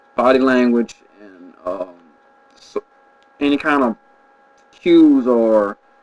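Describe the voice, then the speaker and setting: The sound is dry and close, with no echo, though noticeable background noise is present. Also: man. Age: adult. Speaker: vlogger who stutters. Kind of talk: casual video monologue answering questions. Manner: halting with repetitions.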